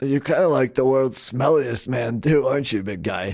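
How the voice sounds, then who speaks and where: A raspy, put-on character voice speaks at a moderate pace. Its pitch varies in an ordinary way. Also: man, medium pitch for a man. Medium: actual play. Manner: hesitant, filler-heavy, casual.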